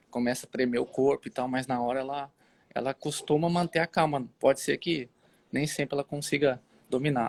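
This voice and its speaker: At a moderate pace and with fairly even intonation, the speech comes through dry and close with no echo on a very clean recording with a silent background. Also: man. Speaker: online Bible show host. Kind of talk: casual Bible discussion livestream. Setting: outdoors on the street, live video. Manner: hesitant, many fillers.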